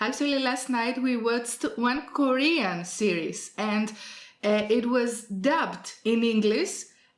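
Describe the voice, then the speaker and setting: Speaking very slowly with a Greek accent, a woman keeps her fairly high voice at very even loudness with ordinary pitch variation, amid audible room echo and noticeable background noise. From Greece. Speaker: YouTuber, language teacher. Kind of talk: interview. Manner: halting, many fillers.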